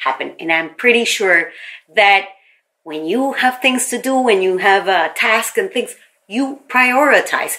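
A woman with an unremarkable speaking voice talks at a fairly slow pace, her intonation lively. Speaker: podcast host, branding consultant. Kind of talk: solo podcast monologue, coaching tips.

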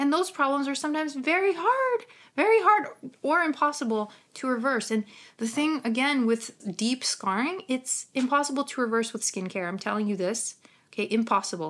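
A woman with a Ukrainian accent speaks in a high, animated voice with very wide pitch swings. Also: moderate pace. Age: 30s. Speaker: skincare professional and podcaster. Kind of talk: casual solo podcast talk, live stream. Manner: animated, casual, laughs often, swears.

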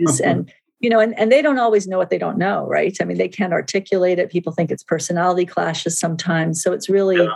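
In an American accent, a woman speaks at a very fast pace with hardly any pauses. Her fairly low voice has vocal fry and ordinary pitch variation. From US small town, bicultural family. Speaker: intercultural trainer and consultant. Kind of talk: interview conversation.

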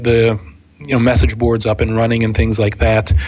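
Against noticeable background noise, a man with an American accent speaks at a medium pitch and a moderate pace. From Pittsburgh, Pennsylvania. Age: 30s. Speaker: podcaster and tech channel manager. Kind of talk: casual interview.

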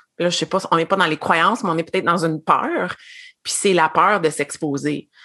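This woman's voice has a bright, sharp tone and a fairly low pitch. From Quebec. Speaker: former education consultant, network marketer. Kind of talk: casual interview.

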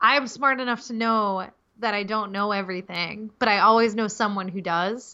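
A woman's unremarkable speaking voice, fairly high in pitch and fairly quick in pace. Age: 30s. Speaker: web designer and copywriter. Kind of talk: podcast interview.

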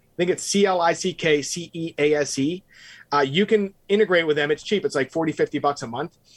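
A man with an ordinary speaking voice talks at a fairly high pitch with ordinary pitch variation. The sound is dry and close with no echo, on a very clean recording with a silent background. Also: fairly quick pace. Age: 40s. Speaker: digital marketer and real estate investor. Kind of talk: interview.

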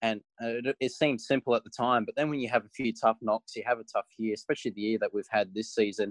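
A man with an Australian accent, talking at a very fast pace with hardly any pauses and fairly even intonation, in a dry, close sound with no echo. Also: medium pitch for a man. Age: 20s. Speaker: racing driver. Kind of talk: interview.

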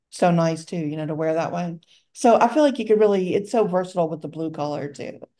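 A woman with a dark, mellow tone and fairly low pitch speaks with lively intonation and big swings in loudness. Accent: Southern US. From Louisiana, US South. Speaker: podcast host and bracelet seller. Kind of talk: casual chat podcast.

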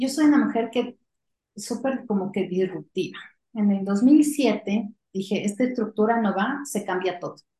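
Somewhat breathy and dark, mellow in tone, a woman's fairly high voice moves at a fairly slow pace with ordinary pitch variation. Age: 40s. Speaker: company CEO. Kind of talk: interview.

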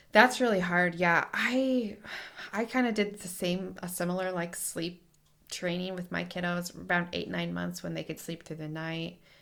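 A woman's normal speaking voice, fairly low in pitch, at a moderate pace with ordinary pitch variation and big swings in loudness. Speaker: lactation consultant podcast host. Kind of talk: casual interview.

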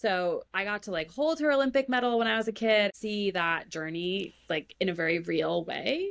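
A woman with an American accent speaks in a plain, everyday voice at a medium pitch and a moderate pace. Her intonation is lively, with hardly any pauses. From Maine, US. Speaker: professional cyclist. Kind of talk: casual interview.

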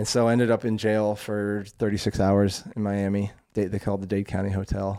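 A man with an American accent speaks at a fairly quick pace in a dark, mellow tone, fairly low in pitch and monotone, with flat intonation. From rural Vermont, US New England. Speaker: recovery story guest, former personal trainer. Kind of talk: interview, personal life story.

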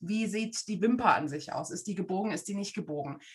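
A woman talks at a moderate pace with a medium pitch and an unremarkable speaking voice. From Germany, Frankfurt am Main. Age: 40s. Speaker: face reader. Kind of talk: casual interview.

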